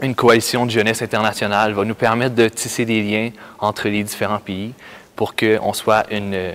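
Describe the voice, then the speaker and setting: A man's fairly low voice in a Quebec accent, moderate in pace and monotone, with flat intonation. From Quebec, Canada. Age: 20s. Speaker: youth camp worker. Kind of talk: personal testimony. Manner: halting, many hesitations.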